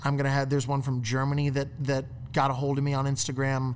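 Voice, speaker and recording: This man's voice sits at a medium pitch. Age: 20s. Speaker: filmmaker. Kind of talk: casual chat.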